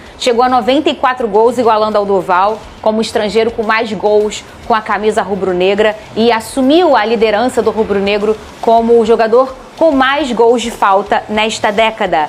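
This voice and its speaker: A woman's fairly high voice at a moderate pace with ordinary pitch variation, amid noticeable background noise. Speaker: sports show host. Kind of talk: sports panel discussion.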